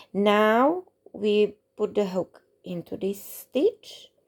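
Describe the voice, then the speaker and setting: Someone with a non-native accent speaks in a very clean recording with a silent background. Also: woman. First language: not English. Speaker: crochet tutorial creator. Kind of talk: tutorial. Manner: halting.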